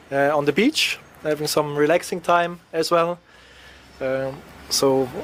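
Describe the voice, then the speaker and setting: A fairly high-pitched man at a moderate pace, amid noticeable background noise. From Switzerland. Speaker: traveler interviewed as guest. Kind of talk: interview. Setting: radio studio. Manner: hesitant, many fillers.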